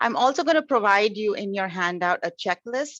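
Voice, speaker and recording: Against a quiet background, a woman speaks fairly quickly at a medium pitch with a bright, sharp tone and a dry, close sound with no echo. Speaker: professor and webinar presenter. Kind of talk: webinar presentation. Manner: fast.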